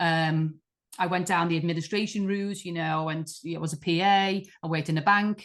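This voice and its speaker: The speaker talks at a moderate pace. The intonation stays flat and monotone. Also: woman. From Liverpool, England. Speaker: artist. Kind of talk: interview conversation.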